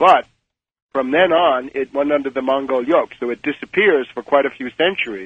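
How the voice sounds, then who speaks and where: In an ordinary speaking voice, a man speaks at a moderate pace with a fairly high pitch and ordinary pitch variation. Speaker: author, political commentator. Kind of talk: radio interview answer.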